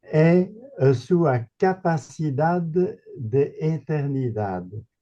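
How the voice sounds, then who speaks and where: Over music in the background, a man talks very slowly. His pitch is fairly high and his intonation is lively. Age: 80s+. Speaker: retired philosophy professor. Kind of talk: Q&A question at a seminar. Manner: halting.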